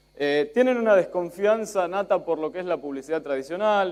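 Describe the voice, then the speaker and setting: With an Argentine accent, a man talks using ordinary pitch variation. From Spain. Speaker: journalist. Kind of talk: conference talk. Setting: stage with audience.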